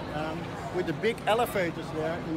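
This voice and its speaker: The speech moves at a moderate pace with ordinary pitch variation. The sound is dry with no echo, though loud background noise is present. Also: man. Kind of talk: interview answer. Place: waterside. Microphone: phone near.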